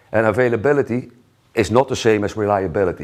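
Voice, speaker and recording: A man with a Dutch accent, a fairly low pitch with ordinary variation and a very fast pace. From Netherlands. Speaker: solutions engineer. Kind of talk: conference talk.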